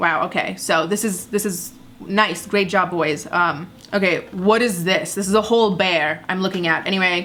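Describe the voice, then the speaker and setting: A woman with a non-native accent and medium pitch, animated in tone at a moderate pace, over noticeable background noise. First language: not English. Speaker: YouTuber, commentary comedian. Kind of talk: reaction commentary.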